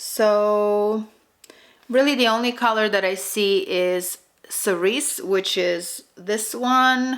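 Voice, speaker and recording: In a Russian accent, a woman speaks at a very slow pace with a fairly high pitch and ordinary pitch variation. Her loudness stays very even. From Russian-speaking immigrant family, raised speaking Russian. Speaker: beauty youtuber. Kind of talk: makeup tutorial and product review. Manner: casual, hesitant with fillers.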